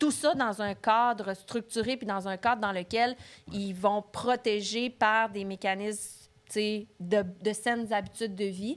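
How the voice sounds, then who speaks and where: A woman's fairly high voice at a very slow pace with fairly even intonation. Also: very clean recording, silent background. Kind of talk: podcast host talk.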